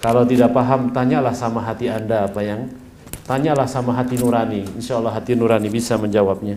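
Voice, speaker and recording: Over noticeable background noise and audible room echo, a man talks at a very fast pace in a monotone, flat intonation. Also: medium pitch for a man. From Indonesia. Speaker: Islamic preacher. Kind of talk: conference talk. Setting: conference hall.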